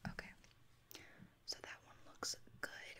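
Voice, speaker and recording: A woman is heard here. She is whispering. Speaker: ASMR creator. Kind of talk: ASMR roleplay, makeup application. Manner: whispered, soft, slow-paced. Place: home room.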